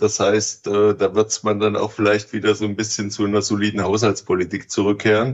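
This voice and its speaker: A man talks fairly quickly with hardly any pauses, his pitch fairly low. His intonation stays monotone and flat. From East Germany. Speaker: real estate executive. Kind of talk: interview. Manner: hesitant with fillers.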